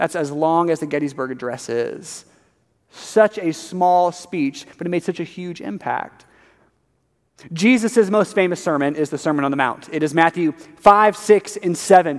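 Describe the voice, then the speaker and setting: A high-pitched man at a moderate pace, ordinary pitch variation, quiet background. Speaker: preacher. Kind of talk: sermon. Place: church.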